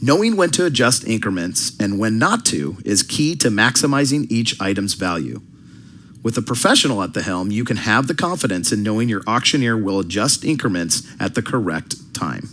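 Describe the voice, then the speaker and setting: A man speaks in a normal speaking voice at a medium pitch. He keeps a moderate pace with lively intonation. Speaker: professional fundraising auctioneer. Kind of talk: corporate-style promotional pitch.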